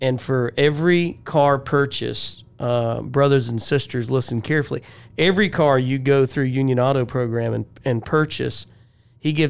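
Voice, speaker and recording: With a normal speaking voice, a man talks at a medium pitch and a moderate pace, keeping his intonation fairly even. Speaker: podcast co-host. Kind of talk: interview.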